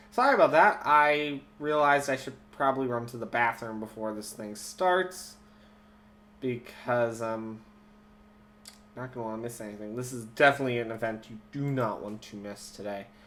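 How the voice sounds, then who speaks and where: Big swings in loudness, in a slight Minnesotan accent. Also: man, medium pitch for a man, ordinary pitch variation, moderate pace. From Minnesota, US Midwest. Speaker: live stream host. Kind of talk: casual live stream commentary. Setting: live YouTube broadcast.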